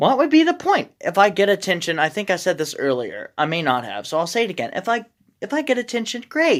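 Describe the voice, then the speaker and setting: Her medium-pitched voice carries vocal fry and very wide pitch swings as this woman speaks. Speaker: vlogger. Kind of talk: casual vlog monologue. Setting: in a shed. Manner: slow, careful; halting, many fillers.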